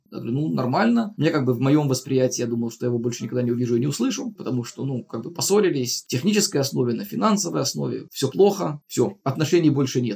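Very fast and lively in intonation, a man speaks with vocal fry and a dark, mellow tone. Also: medium pitch for a man, hardly any pauses. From outside Russia. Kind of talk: casual storytelling.

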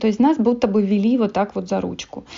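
A woman's unremarkable speaking voice at a medium pitch, with fairly even intonation. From Moldova. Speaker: blogger. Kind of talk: interview.

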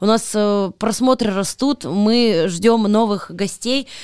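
A woman with a fairly high voice sounds animated, with ordinary pitch variation. The sound is dry and close, without echo. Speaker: podcast host. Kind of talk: casual chat.

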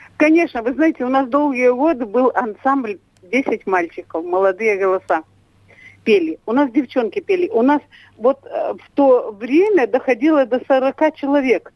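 Captured in a dry, close sound with no echo, a woman speaks at a fairly slow pace with very wide pitch swings. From Tyumen region, Belarusian settler village. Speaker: folk ensemble artistic director. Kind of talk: interview.

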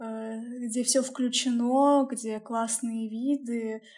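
A woman's dark, mellow tone at a fairly high pitch, with monotone, flat intonation. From Russia, Bryansk. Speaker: podcast co-host. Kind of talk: casual chat.

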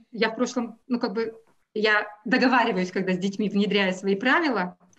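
A woman's somewhat breathy voice, fairly high in pitch, with ordinary pitch variation. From Russia. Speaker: math teacher. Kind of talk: interview.

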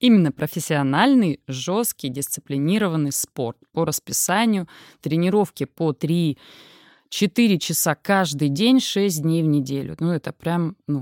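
In a plain, everyday voice, a woman with a fairly low pitch speaks at a fairly slow pace with lively intonation, in a dry, close sound with no echo on a very clean recording with a silent background. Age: 40s. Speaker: sports psychologist and coach. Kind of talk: casual interview.

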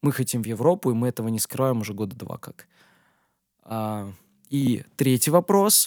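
Using lively intonation at medium pitch, a man keeps a moderate pace with long, frequent pauses. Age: 20s. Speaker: DJ and music producer. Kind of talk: solo Q&A podcast. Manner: casual, with filler sounds.

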